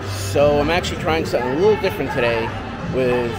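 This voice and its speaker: Fairly quick speech with a dry sound with no echo and music in the background. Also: man. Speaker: vlogger. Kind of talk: casual vlog chat. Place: hall. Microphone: phone near.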